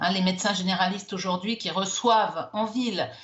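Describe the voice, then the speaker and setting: Noticeable noise sits behind a woman speaking at medium pitch. She keeps a moderate pace and fairly even intonation. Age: 60s. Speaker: doctor. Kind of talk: TV news interview.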